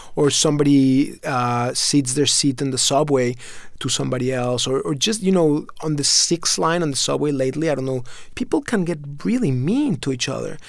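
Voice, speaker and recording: A man speaks with a Spanish accent. His pitch is fairly high and his pace is moderate. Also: ordinary pitch variation. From Mexico City, Mexico. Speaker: food company founder. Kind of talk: interview.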